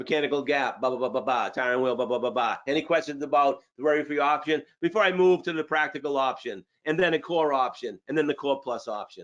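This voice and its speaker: Speaking at a very fast pace with hardly any pauses, a man with a Boston accent and fairly high pitch sounds animated, with ordinary pitch variation. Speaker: sales trainer. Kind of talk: training webinar.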